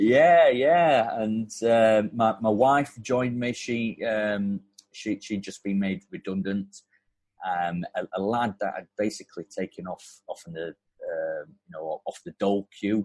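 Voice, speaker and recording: A man with a Yorkshire accent talks at a fairly slow pace in a medium pitch, his lively intonation and big swings in loudness caught in a dry, close sound with no echo. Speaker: plumbing and heating business owner. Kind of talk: casual chat. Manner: halting, repeats words.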